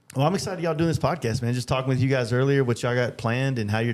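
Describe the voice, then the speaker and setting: Here a man talks at a very fast pace with a medium pitch. The recording is very clean, with a silent background. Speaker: podcast host and motorcycle painter. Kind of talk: casual chat. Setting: studio. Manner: halting with filler words.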